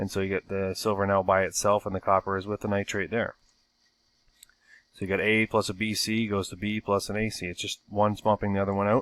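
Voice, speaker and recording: The speech comes very fast and monotone, with flat intonation, in a dry, close recording with no echo, very clean and with a silent background. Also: man, fairly low pitch for a man. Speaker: science teacher. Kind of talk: recorded lesson. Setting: recorded video lesson. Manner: casual, hesitant with fillers.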